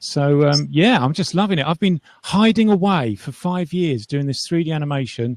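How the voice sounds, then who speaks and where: A man's fairly high voice with an English accent and lively intonation, at a moderate pace, dry and close with no echo, over a quiet background. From England. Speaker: 3D animator. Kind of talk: casual chat.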